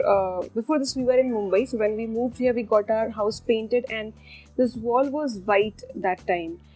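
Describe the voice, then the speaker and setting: Faint music plays behind a woman as she speaks. She keeps a moderate pace with ordinary pitch variation. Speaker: cooking channel host. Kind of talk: casual vlog chat.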